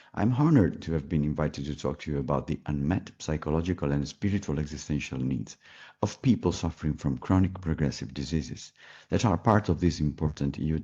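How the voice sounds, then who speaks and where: Very deep, low male voice with an Italian accent, a dark, mellow tone, vocal fry, ordinary pitch variation and a fairly quick pace. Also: quiet background. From Italy. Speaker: palliative care physician. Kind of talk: pre-recorded presentation. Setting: pre-recorded video.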